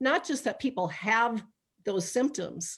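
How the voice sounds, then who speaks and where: A normal speaking voice proceeds at a moderate pace with ordinary pitch variation. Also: woman. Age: 60s. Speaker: medical intuitive and spiritual counselor. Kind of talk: informal health talk in a live online meeting. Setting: live video meeting streamed online.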